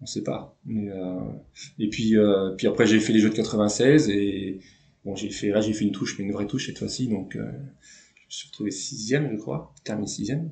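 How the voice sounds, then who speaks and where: Low in pitch, a man speaks with vocal fry and a dark, mellow tone. His pace is moderate and his pitch varies in an ordinary way. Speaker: former canoe slalom champion. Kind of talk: interview. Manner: halting, many fillers.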